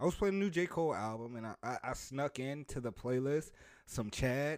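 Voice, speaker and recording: Silent background and a very clean recording, a man talking at a moderate pace. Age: 20s. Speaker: podcast co-host. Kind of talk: casual chat. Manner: animated.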